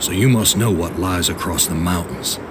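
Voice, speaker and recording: Through loud background noise, a man uses a put-on character voice, very deep and low, at a moderate pace. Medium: machinima. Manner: weary, brooding.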